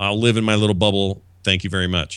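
Fairly low-pitched male speech with an American accent, a bright, sharp tone and monotone, flat intonation at a fairly quick pace, on a very clean recording with a silent background. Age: 40s. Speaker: podcaster. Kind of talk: casual chat.

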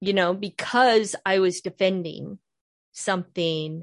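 A woman with a Midwestern American accent speaks at a fairly slow pace, the sound dry and close with no echo against a quiet background. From northern Ohio, near Cleveland. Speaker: podcast host, author and Bible teacher. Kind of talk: casual interview chat.

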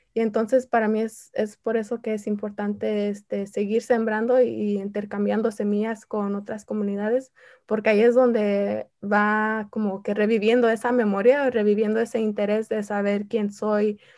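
Hardly pausing, a woman with a fairly high pitch and a dark, mellow tone speaks in a monotone, flat intonation on a very clean recording with a silent background. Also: moderate pace. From Southern California (Santa Ana), P'urhépecha family from Michoacán. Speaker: artist and community activist. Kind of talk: interview.

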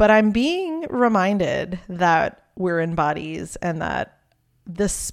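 In a very clean recording with a silent background, a woman talks at a fairly slow pace. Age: 40s. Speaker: podcast host and midwife. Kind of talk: solo podcast monologue.

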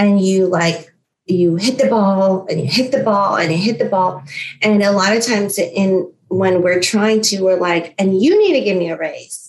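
She has a plain, everyday voice, pitched in the middle range for a woman. Her delivery is fairly slow, and her pitch varies in an ordinary way. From US, New York and Florida, Filipino-American family. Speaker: motivational speaker. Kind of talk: interview.

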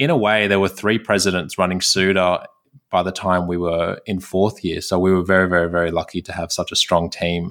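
A man speaks at a fairly quick pace with a very deep, low pitch and monotone, flat intonation. The recording is very clean, with a silent background. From Sydney, Australia. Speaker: recent graduate dentist. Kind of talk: casual interview chat.

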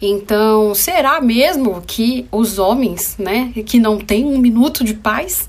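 Noticeable background noise sits behind a woman who speaks at a very slow pace with a fairly high pitch. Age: 30s. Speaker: psychologist and podcast host. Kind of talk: casual solo podcast monologue. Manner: conversational.

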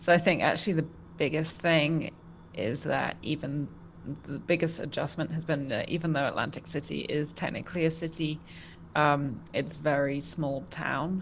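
A woman speaks with vocal fry and a southern English accent, her pitch very deep and low. Her intonation stays fairly even at a moderate pace. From England, Portsmouth. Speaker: journalist, news site co-founder. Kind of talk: interview.

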